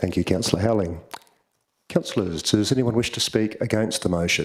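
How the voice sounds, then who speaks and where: With an Australian accent, the speaker goes at a fairly quick pace and uses ordinary pitch variation. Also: man, fairly low pitch for a man. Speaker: mayor chairing council meeting. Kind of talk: formal meeting chairing. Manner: formal.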